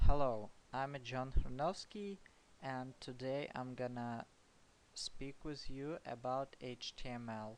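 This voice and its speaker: This man talks very slowly with a non-native accent and ordinary pitch variation. His loudness rises and falls sharply. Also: medium pitch for a man. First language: not English. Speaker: programming tutor. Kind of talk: tutorial. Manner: halting, many fillers.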